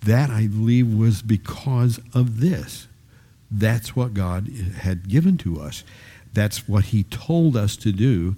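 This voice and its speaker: A man speaks at a very slow pace in a fairly low, dark and mellow voice that is somewhat breathy. His intonation is lively. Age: 70s. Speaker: Bible study teacher. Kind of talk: Bible teaching. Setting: live group gathering. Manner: halting.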